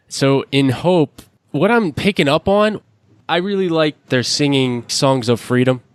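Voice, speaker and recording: With an unremarkable speaking voice, a man talks at a fairly slow pace and fairly high pitch, his intonation lively, his loudness very even and the sound dry and close with no echo. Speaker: podcast host. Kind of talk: podcast interview questions.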